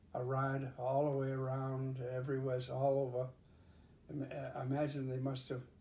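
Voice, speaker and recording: Somewhat breathy and dark, mellow in tone, a man with a medium pitch speaks at a fairly slow pace. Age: 80s+. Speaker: pilot. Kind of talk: interview answer.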